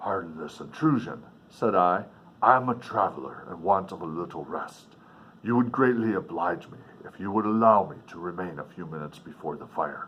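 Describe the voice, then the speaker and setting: A man's put-on character voice, fairly low in pitch, at a moderate pace. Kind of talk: formal, archaic. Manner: polite, pleading.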